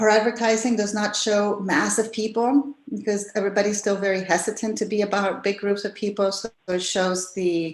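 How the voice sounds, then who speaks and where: Using a normal speaking voice, a woman at medium pitch talks at a moderate pace, with fairly even intonation and hardly any pauses. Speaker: tourism office director. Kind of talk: presentation talk.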